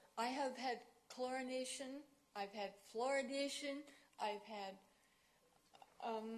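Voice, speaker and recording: Audible room echo surrounds speech at a fairly slow pace, with ordinary pitch variation and long, frequent pauses. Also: woman, high pitch for a woman. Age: 60s. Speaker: resident presenting to council. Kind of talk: public delegation speech. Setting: city council meeting.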